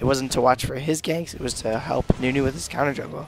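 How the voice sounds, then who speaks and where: Music plays in the background as a man talks at a fairly quick pace. His pitch is fairly high, with ordinary variation. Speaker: amateur game commentator. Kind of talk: video game commentary.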